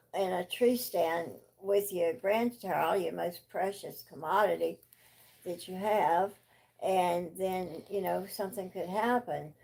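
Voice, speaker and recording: A woman with an American accent speaks at a very slow pace in a medium pitch. Her intonation is fairly even, with vocal fry. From US South. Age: 70s. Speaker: grandparent of channel owner. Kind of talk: casual chat.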